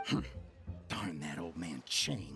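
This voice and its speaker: A put-on character voice growls throughout. Clear music plays in the background. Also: man. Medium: video game. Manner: fawning.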